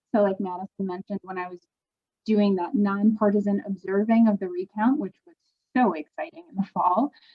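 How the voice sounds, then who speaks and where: A soft-spoken woman with an American accent talks at a fairly quick pace. Her somewhat breathy voice shows big swings in loudness. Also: medium pitch for a woman, ordinary pitch variation. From Milwaukee, Wisconsin. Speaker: voting rights volunteer. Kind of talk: webinar presentation. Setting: video call.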